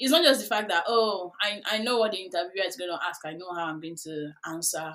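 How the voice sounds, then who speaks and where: A woman with a Nigerian accent talks at a very fast pace and medium pitch. Her pitch variation is ordinary, and her loudness swings widely. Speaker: UX career coach. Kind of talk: podcast interview. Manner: hesitant, many fillers.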